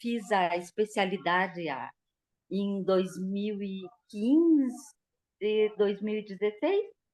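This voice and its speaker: Very slowly, a woman speaks at a fairly high pitch, her voice swinging very widely in pitch. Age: 60s. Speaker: dentist, course participant. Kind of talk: casual chat.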